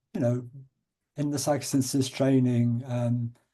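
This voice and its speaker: This man speaks at a medium pitch, his voice somewhat breathy with a dark, mellow tone. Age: 70s. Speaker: psychotherapist and author. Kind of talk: interview. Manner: halting.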